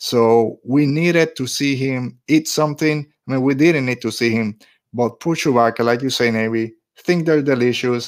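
On a very clean recording with a silent background, a man speaks in an unremarkable speaking voice, medium in pitch with fairly even intonation. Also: moderate pace. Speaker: podcast host. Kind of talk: casual podcast chat. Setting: home recording, Florida. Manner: relaxed, conversational.

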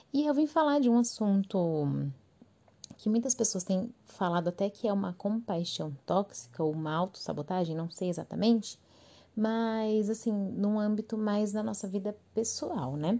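With a Brazilian accent, a woman of medium pitch speaks in a dark, mellow tone at a fairly slow pace with lively intonation against a quiet background. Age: 20s. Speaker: podcast host. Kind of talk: casual solo monologue.

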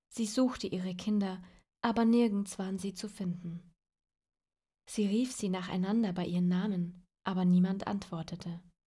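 At a moderate pace broken by long, frequent pauses, a woman speaks in a medium pitch that is somewhat breathy and has a dark, mellow tone, with fairly even intonation. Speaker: storyteller reading fairy tales aloud. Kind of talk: dramatic fairy-tale narration, suspenseful storytelling with a tale-spinning tone. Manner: gentle, warm, child-directed.

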